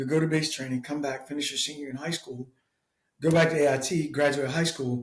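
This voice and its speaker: Somewhat breathy and pitched fairly high, a man with an American accent speaks at a very fast pace with fairly even intonation. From US South, south Georgia. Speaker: military veteran. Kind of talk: casual interview.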